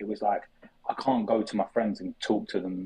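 A man speaks with a South London accent. His pace is fairly quick. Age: 20s. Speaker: sports content creator. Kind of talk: casual chat.

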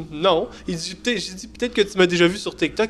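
A man speaks at a moderate pace. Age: 30s. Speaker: TikTok creator, podcast co-host. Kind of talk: casual chat. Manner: halting.

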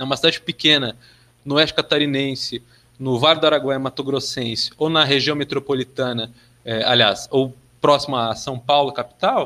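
Bright and sharp in tone, a man speaks at a moderate pace in a fairly high pitch with fairly even intonation. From southern Brazil, Passo Fundo (Rio Grande do Sul). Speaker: geography master's student. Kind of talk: podcast interview. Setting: remote recording.

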